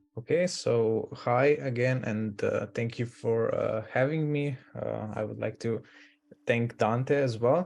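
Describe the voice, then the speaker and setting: A man with a non-native accent talks fairly slowly. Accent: foreign. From Slovenia. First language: Slovenian. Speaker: interview guest, recent humanities student. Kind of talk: casual interview. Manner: halting, many fillers.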